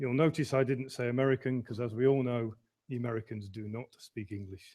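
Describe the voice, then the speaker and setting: A man with a Midlands accent talks at a moderate pace. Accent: Midlands English, northern short u and a. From English Midlands. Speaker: emergency management consultant. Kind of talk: lecture. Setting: online lecture.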